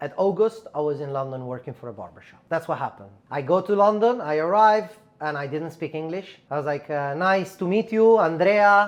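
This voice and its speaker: A man with a high voice and an Italian accent, at a fairly quick pace, with lively intonation and big swings in loudness. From Italy, Milan. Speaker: barber and educator. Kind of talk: casual chat.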